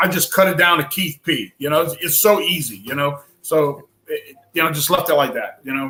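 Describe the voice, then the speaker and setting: With a New Orleans accent and a bright, sharp tone, a man talks at a moderate pace with ordinary pitch variation. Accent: noticeable New Orleans. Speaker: bourbon YouTuber and streamer. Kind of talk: casual chat. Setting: live stream.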